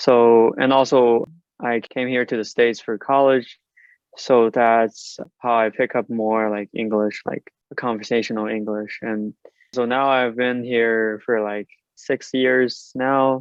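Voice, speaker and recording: The speaker has a Chinese accent and a fairly slow pace. The intonation stays monotone and flat. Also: man, medium pitch for a man. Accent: Mandarin Chinese accent in English. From mainland China. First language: Mandarin Chinese. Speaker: PhD student. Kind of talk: interview. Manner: halting with fillers.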